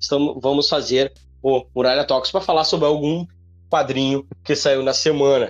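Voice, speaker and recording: The voice is a man's, pitched fairly high. He keeps a moderate pace. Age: 30s. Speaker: comics podcast host. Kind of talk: solo commentary. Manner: halting.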